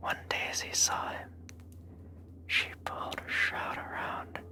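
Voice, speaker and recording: A whisper at a very slow pace, with noticeable noise behind it. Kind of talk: ASMR whispered horror story reading. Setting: close-mic studio recording. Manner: whispered, soft.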